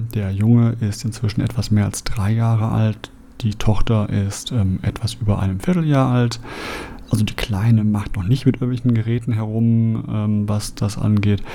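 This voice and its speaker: A man's fairly low voice at a moderate pace, fairly even in intonation, over noticeable background noise. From Germany, Essen (Ruhr area). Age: 40s. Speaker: podcast host. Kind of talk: monologue podcast introduction.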